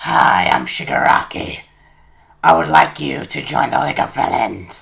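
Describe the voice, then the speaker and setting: A put-on character voice, raspy and very deep in pitch. It moves at a moderate pace. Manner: welcoming, sinister.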